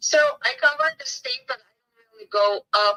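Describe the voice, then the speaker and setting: Moderate pace from a woman with a Bulgarian accent, in a dry, close sound with no echo. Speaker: real estate agent. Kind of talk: business phone call.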